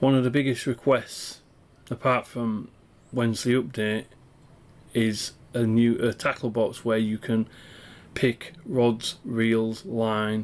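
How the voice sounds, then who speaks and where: A man with a Yorkshire accent speaks at a very slow pace, leaving long, frequent pauses. His intonation stays fairly even. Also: medium pitch for a man. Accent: Yorkshire accent (self-described). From northern England, East Riding of Yorkshire; northern England. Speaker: indie game developer. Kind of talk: dev log walkthrough. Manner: hesitant, many fillers. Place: home room.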